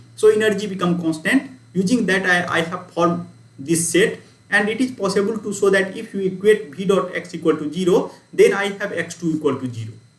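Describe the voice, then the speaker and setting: A man with a high voice talks at a fairly quick pace in a room with audible echo and noticeable background noise. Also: ordinary pitch variation. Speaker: university lecturer. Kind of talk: lecture. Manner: fast.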